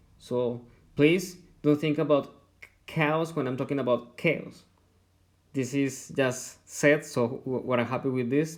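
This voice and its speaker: A man with a strong non-native accent, fairly high in pitch, very slow, with fairly even intonation and long, frequent pauses. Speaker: university lecturer. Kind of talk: lecture. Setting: recorded online lecture. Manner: halting, with repetitions.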